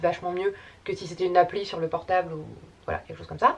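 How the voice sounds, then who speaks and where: At a very fast pace, a woman talks with a medium pitch. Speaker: YouTuber. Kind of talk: casual vlog. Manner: filler-heavy, many euh.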